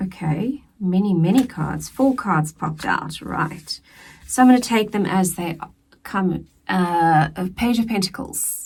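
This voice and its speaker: A somewhat breathy woman's voice, very slow, with lively intonation. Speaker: tarot reader. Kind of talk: tarot reading. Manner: casual, conversational.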